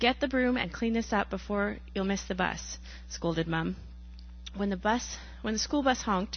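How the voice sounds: Lively intonation in a natural reading voice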